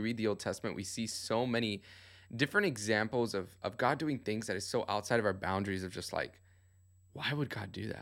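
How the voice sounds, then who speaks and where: A man's fairly low voice, bright and sharp in tone, at a very fast pace on a very clean recording with a silent background. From Cuban family background. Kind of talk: casual faith conversation.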